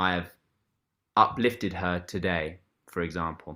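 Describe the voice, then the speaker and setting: A man with an English accent speaks in a very deep, low pitch with a bright, sharp tone. The recording is very clean, with a silent background. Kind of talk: interview answer.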